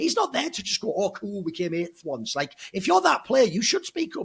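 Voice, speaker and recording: In an animated tone, a man speaks very fast in a high voice with very wide pitch swings. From northeast England. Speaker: esports pundit. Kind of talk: casual podcast discussion.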